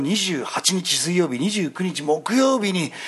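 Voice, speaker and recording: A man with a fairly high voice talks while background noise is clearly noticeable. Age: 30s. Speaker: stage actor. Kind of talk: casual chat. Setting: restaurant.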